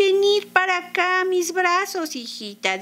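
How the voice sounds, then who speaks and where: A woman performs a put-on character voice at an extremely high pitch and a fairly slow pace, with light background noise. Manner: feigned sweetness.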